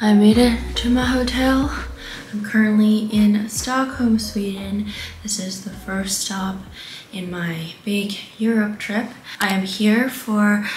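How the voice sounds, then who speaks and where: Speaking at a very slow pace with fairly even intonation, a woman is heard over light background noise and audible room echo. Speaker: travel vlogger. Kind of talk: casual vlog chat. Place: home room. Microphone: camera far.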